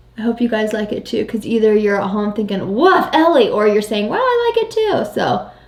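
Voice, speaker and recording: A woman talks at a fairly quick pace with hardly any pauses. Noticeable background noise runs behind her. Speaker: beauty vlogger. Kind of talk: casual makeup tutorial chat. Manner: loud.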